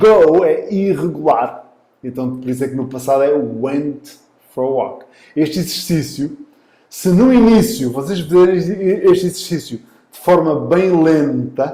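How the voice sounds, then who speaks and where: Speaking fairly slowly with an European Portuguese accent, a man has a dark, mellow tone, lively intonation and big swings in loudness. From Portugal. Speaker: English teacher. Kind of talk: online lesson. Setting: live online class. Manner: repeats phrases with filler sounds.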